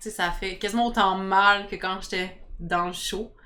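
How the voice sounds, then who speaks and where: A woman talks at a medium pitch with flat, monotone intonation. Her tone is bright and sharp. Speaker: reality TV contestant. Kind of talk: interview. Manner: fast.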